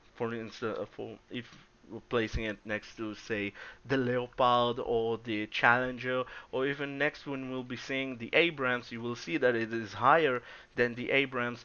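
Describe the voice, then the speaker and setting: A man's medium-pitched voice with a non-native accent and fairly even intonation. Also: moderate pace. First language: not English. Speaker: gaming YouTuber. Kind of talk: gameplay commentary. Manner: halting.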